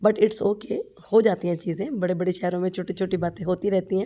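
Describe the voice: At a fairly quick pace, a woman speaks in a fairly low pitch with a dark, mellow tone and fairly even intonation.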